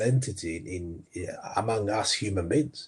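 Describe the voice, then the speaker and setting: Against a quiet background, a somewhat breathy voice with an American accent moves at a moderate pace. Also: man. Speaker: sports coaching entrepreneur. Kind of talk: interview.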